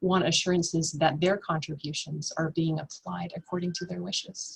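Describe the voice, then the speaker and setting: Soft-spoken and fairly low-pitched, a woman talks at a moderate pace. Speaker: nonprofit finance presenter. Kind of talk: webinar presentation. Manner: halting, many fillers.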